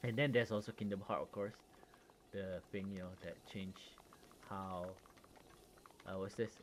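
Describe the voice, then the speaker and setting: A man with a Malaysian accent speaks at a fairly low pitch and a moderate pace, with fairly even intonation and long, frequent pauses. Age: 30s. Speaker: gaming streamer. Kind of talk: casual chat. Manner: halting, many fillers.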